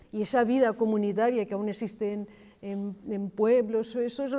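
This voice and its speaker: This woman has an ordinary speaking voice, pitched fairly high. She moves at a moderate pace with ordinary pitch variation. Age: 60s. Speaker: archaeologist. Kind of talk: panel discussion.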